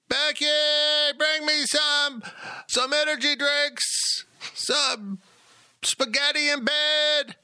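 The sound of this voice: In a whiny, put-on character voice pitched extremely high, a man speaks at a very slow pace with long, frequent pauses.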